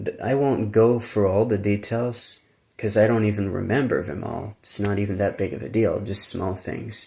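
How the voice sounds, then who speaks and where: A man's fairly low voice with an American accent, at a moderate pace. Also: fairly even intonation. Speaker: YouTuber. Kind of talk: casual monologue. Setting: live stream. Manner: conversational, informal.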